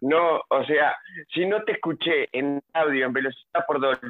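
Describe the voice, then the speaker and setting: A man speaks in an unremarkable speaking voice, pitched fairly high. His intonation stays fairly even. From Nueva Palmira, Colonia, Uruguay. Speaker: university student. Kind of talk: casual chat.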